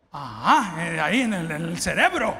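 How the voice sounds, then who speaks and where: A man with a Salvadoran accent speaks in a raised, projected voice with an animated tone. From El Salvador. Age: 50s. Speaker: pastor. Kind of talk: sermon. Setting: church. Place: church. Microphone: handheld.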